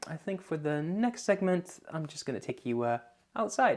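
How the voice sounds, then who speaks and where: In a slight Dutch accent, a man speaks at a high pitch. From Netherlands, Lelystad (Flevoland). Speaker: YouTuber. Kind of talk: casual vlog Q&A. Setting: outdoors. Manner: halting, many fillers.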